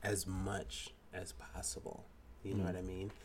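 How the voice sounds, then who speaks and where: A man is talking. There is a somewhat breathy quality to his voice. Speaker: podcast co-host. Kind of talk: casual chat. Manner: giggly, playful.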